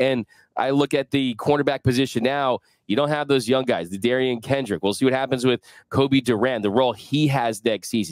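Fairly quick speech with ordinary pitch variation, dry sound with no echo, and a quiet background. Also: man. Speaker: sports podcast host. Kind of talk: casual sports talk. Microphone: headset.

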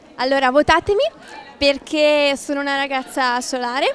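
With a dry sound, no echo and light background noise, a woman speaks at a high pitch and fairly slow pace with ordinary pitch variation. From Venice mainland (Mestre, Marghera), Veneto, Italy; Veneto, Italy. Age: 20s. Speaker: university student, carnival pageant contestant. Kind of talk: interview. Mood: cheerful, smiling. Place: hall. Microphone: handheld.

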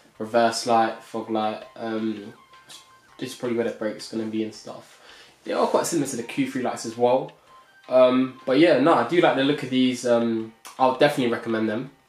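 A man with fairly even intonation, audible room echo, and faint music in the background. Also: fairly quick pace. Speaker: car vlogger. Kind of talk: casual product review vlog. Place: home room.

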